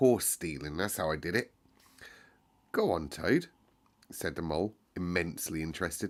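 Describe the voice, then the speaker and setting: A man with an English accent and very wide pitch swings, on a very clean recording with a silent background. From United Kingdom. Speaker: teacher. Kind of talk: audiobook reading with character voices. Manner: calm, soothing.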